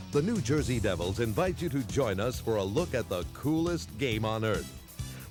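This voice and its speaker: Lively intonation from a man at a medium pitch, with music in the background. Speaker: PA announcer. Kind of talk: promotional marketing voice-over.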